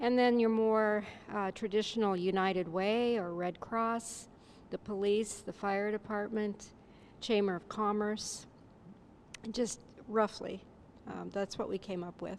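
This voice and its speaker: Soft-spoken and monotone, a woman with a medium pitch speaks at a fairly slow pace with long, frequent pauses. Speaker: seminar participant. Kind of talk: group discussion report.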